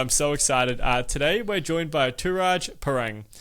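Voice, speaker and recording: On a very clean recording with a silent background, a man talks at a fairly quick pace. His voice sits fairly high and has a bright, sharp tone. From Australia. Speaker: podcast host. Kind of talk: podcast interview.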